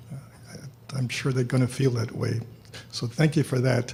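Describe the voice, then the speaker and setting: A man with an American accent and fairly even intonation, noticeable background noise behind him. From Houston, Texas. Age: 80s+. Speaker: social worker. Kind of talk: award acceptance speech. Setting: luncheon hall with audience. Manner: halting.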